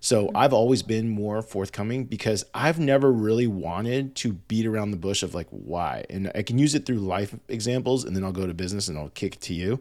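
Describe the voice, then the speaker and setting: A man's voice, an ordinary speaking voice, at a fairly quick pace with hardly any pauses and ordinary pitch variation, in a very clean recording with a silent background. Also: fairly low pitch for a man. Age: 40s. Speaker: podcast co-host. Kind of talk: casual chat.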